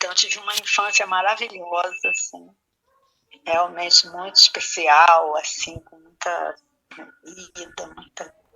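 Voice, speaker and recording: This woman talks very slowly while music plays behind her. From Brazil, Rio de Janeiro suburb. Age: 60s. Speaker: spiritual leader. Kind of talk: interview. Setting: radio program.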